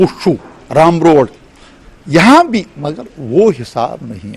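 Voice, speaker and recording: A man speaks at a high pitch over noticeable background noise. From rural Kashmir. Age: 60s. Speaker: interviewee, displaced Kashmiri Pandit. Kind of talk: interview. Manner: halting.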